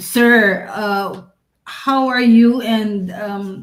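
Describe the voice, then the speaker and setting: With audible room echo, a somewhat breathy woman speaks with ordinary pitch variation. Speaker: podcast co-host. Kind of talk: interview. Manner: stuttering today.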